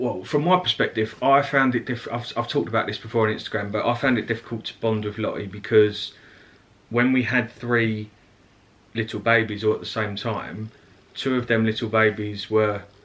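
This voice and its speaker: Using fairly even intonation, a man talks with an Essex accent. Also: medium pitch for a man, moderate pace. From Essex, England. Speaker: family vlogger. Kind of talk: casual chat.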